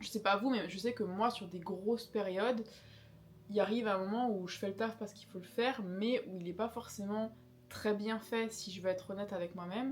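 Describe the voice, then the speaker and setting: With an unremarkable speaking voice at a medium pitch, a woman speaks fairly quickly with fairly even intonation and big swings in loudness. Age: 20s. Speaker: craft YouTuber. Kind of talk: casual chat. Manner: conversational.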